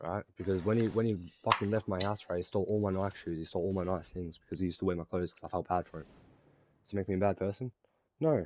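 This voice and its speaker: With an Australian accent, a man talks very fast in a very deep, low voice, the sound dry and close with no echo. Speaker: gaming streamer. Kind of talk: casual chat. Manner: animated.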